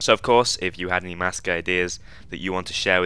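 In a British accent, a man rattles along at a very fast pace with a bright, sharp tone and a very deep, low pitch. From United Kingdom. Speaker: gaming YouTuber. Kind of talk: casual vlog update.

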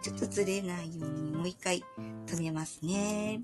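Music playing behind speech at a moderate speed, its pitch swinging very widely. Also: woman. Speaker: pastel art instructor. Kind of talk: art tutorial talk.

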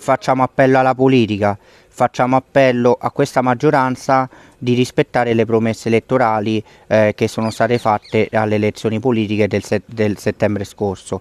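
A man speaks at a moderate pace with fairly even intonation. The sound is dry, with no echo. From Rome, Italy; Italy. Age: 20s. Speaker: former school janitor and activist. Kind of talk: testimony / public appeal. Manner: hesitant, many fillers and repetitions. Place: street. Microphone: earbuds.

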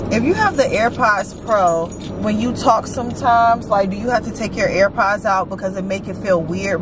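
A woman speaks at a moderate pace in a dry recording with no echo, with music playing in the background. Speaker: vlogger. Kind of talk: casual vlog chat. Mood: cheerful, laughing. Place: car. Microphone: camera far.

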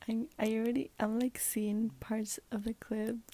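The sound is dry with no echo. A woman speaks in a somewhat breathy voice with a dark, mellow tone. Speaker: vlogger. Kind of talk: casual vlog chat. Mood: cheerful, amused. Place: home room. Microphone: earbuds.

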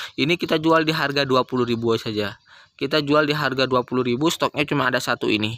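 Bright, sharp and upbeat, the voice moves at a fairly quick pace with ordinary pitch variation, and the sound is dry with no echo. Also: man. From East Java, Indonesia. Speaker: plant seller vlogger. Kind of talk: street-seller sales pitch, rattling off promo prices with repeated phrases. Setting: plant shop, filmed video. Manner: repetitive, pushy and upbeat, repeating each price two or three times. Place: garden. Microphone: phone near.

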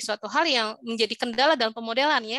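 A woman with a high pitch and a bright, sharp tone talks at a very fast pace with ordinary pitch variation, the sound dry with no echo and the background quiet. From Indonesia. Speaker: informatics lecturer. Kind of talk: lecture. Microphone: video call.

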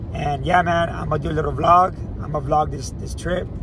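Music plays behind a man speaking at a moderate pace. The sound is dry, with no echo. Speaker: vlogger. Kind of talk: casual vlog chat. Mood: relaxed, upbeat. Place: car. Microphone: phone near.

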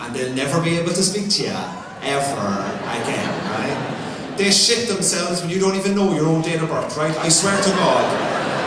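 A man talks at a moderate pace with audible room echo. Loud background noise fills the recording. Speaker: stand-up comedian. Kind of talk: stand-up comedy routine. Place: stage.

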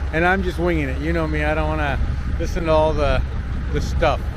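Noticeable background noise surrounds a man in a dry recording with no echo. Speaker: travel vlogger. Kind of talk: casual vlog chat. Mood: cheerful, self-deprecating. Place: street. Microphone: phone near.

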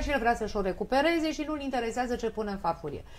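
Fairly high-pitched, a woman's voice rises and falls with lively intonation. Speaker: family doctor. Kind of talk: live TV studio debate. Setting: TV studio. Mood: critical, explanatory. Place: studio.

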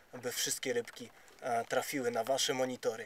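This man speaks at a moderate pace with a monotone, flat intonation. The sound is dry with no echo, over light background noise. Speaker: fishing vlogger. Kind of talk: casual vlog chat. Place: boat. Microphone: phone near.

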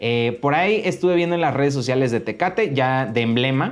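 Speaking at a moderate pace with a Mexican accent, this voice swings very widely in pitch. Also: man. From Mexico. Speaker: YouTuber. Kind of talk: vlog monologue. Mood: complaining but friendly. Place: studio.

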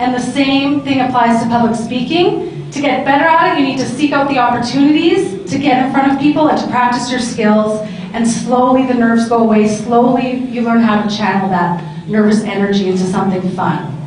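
The speech moves at a fairly quick pace with hardly any pauses and lively intonation. Light background noise and audible room echo are present. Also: woman, high pitch for a woman. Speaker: panel moderator. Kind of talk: panel discussion. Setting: stage with audience. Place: hall.

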